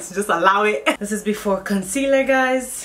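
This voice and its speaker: There is noticeable background noise in this clip. A woman speaks at a moderate pace. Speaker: beauty YouTuber. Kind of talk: makeup tutorial. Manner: casual, chatty.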